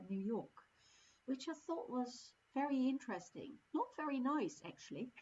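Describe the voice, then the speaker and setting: The speaker is female. A fair amount of breath comes through in her voice. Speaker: service leader. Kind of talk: sermon. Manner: halting.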